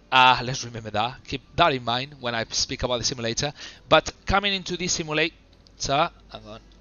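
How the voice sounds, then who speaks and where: Moderate pace with music in the background. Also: man. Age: 30s. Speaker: flight simulator streamer. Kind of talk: live gameplay commentary. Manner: relaxed, casual; halting, hesitant.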